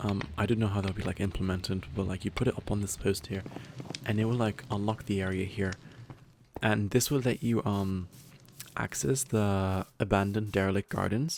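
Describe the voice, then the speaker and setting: With ordinary pitch variation, the delivery runs at a fairly quick tempo. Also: man, fairly low pitch for a man. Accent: non-native. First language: not English. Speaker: gaming youtuber. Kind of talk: casual gameplay commentary. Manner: rambling with many fillers.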